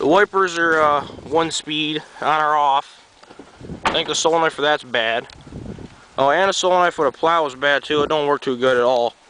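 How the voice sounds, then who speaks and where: Noticeable background noise surrounds a man with a fairly high pitch. He talks at a moderate pace with fairly even intonation. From New York (Greenwich). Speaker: vehicle owner vlogger. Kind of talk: casual walkaround video. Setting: outdoors. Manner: casual, hesitant with fillers.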